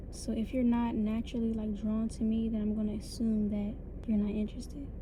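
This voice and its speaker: Very fast, monotone speech from a woman with a fairly high pitch and an American accent, with flat intonation, audible room echo and noticeable background noise. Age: 20s. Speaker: vlogger. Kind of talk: personal vlog monologue.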